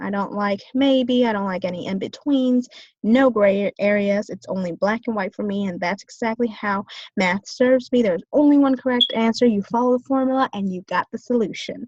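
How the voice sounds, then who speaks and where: Somewhat breathy, the voice moves at a moderate pace with ordinary pitch variation, in a dry, close sound with no echo. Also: woman, fairly high pitch for a woman. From US, Vietnamese-American family. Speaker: business student. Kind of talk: class presentation. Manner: hesitant, many fillers.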